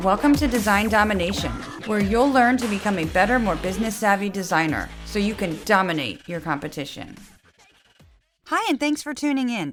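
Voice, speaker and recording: A woman talks at a fairly quick pace in a medium pitch. Her intonation is lively, with music playing in the background. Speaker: podcast host. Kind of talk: podcast intro.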